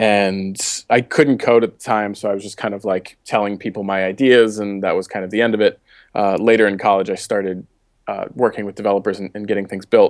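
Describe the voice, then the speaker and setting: The speaker has an American accent and talks at a very fast pace with monotone, flat intonation. The background is quiet. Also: man. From Baltimore, US. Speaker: startup founder and developer. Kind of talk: interview. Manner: many fillers and repeated words.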